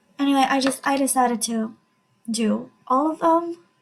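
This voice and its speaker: The woman speaks in a high pitch. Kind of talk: gameplay commentary. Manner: casual, hesitant.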